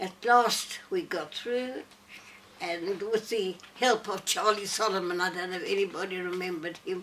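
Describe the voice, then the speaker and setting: A woman at medium pitch, fairly even in intonation, against noticeable background noise. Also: moderate pace. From Northern Rhodesia (Zambia), Lusaka. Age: 90s. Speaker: elderly interviewee telling life story. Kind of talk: personal life story to small audience. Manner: halting.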